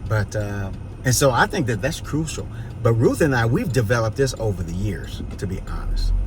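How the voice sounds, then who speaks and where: In a room with audible echo and noticeable background noise, a man talks at a moderate pace in an animated tone, his medium pitch showing ordinary variation. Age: 60s. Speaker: pastor and vlogger. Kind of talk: casual vlog chat with advice. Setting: outdoors on a city street. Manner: animated, preachy.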